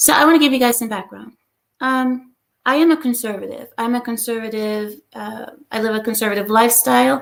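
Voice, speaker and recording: Fairly quick speech from a woman, fairly high in pitch, with ordinary pitch variation. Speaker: YouTube commentator. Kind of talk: live stream monologue. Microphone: new headphones, laptop.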